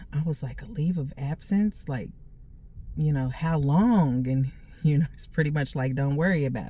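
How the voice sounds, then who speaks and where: A woman with a very deep, low pitch, ordinary pitch variation, a moderate pace and big swings in loudness. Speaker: vlogger. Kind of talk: casual chat.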